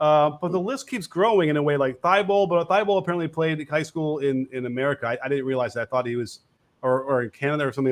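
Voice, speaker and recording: This man speaks very fast in a northern US accent. His pitch is fairly high, with ordinary variation. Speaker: basketball coach and show host. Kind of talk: live show call-in chat.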